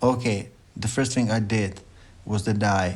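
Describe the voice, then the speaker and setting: A man speaks with a non-native accent. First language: not English. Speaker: music producer. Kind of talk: tutorial. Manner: informal, with hesitations.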